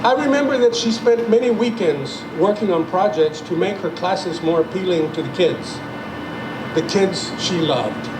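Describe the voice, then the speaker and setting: Against noticeable background noise, a man with a Spanish accent talks at a moderate pace, his high pitch carrying lively intonation. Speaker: retired journalist and playwright. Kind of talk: ceremony speech.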